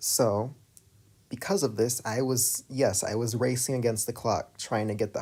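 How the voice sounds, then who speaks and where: A man with an American accent speaks in a dark, mellow, somewhat breathy tone, his intonation fairly even. The recording is very clean, with a silent background. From United States. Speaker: streamer and animator. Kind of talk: live stream Q&A.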